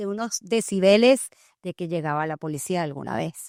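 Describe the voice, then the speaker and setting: A woman's voice with ordinary pitch variation, in a very clean recording with a silent background and a dry, close sound with no echo. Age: 50s. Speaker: trauma life coach and podcast host. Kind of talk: interview testimony. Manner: loud.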